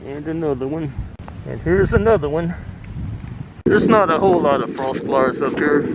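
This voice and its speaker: This man speaks at a fairly quick pace with a fairly high pitch and ordinary pitch variation, leaving long, frequent pauses. Audible room echo and noticeable background noise are present. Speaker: hiking vlogger. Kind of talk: vlog narration while hiking. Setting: outdoors.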